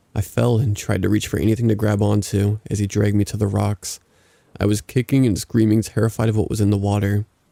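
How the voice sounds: What comes through is a natural reading voice.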